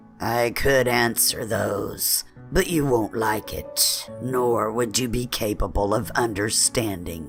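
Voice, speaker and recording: A put-on character voice, low-pitched, rumbling, gravelly and raspy, at a fairly slow pace with hardly any pauses, over clear music in the background. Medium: read story. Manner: menacing, mocking.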